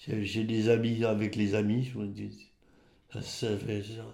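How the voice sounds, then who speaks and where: The room echo is audible as a man speaks with a dark, mellow tone. His pitch is fairly low and his intonation monotone and flat. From rural Champagne, Aube (Côte des Bar), France. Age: 80s+. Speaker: retired winegrower. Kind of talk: oral history interview. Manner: halting, with many repetitions and hesitations.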